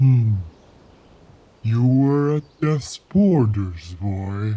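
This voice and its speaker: Using a put-on character voice, a man speaks at medium pitch. His pace is very slow and his intonation lively. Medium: audio drama.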